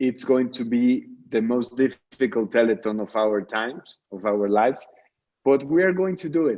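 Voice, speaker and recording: This man has a Mexican accent and a medium pitch. His intonation is lively and his pace moderate. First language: Spanish. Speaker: charity founder. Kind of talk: radio interview.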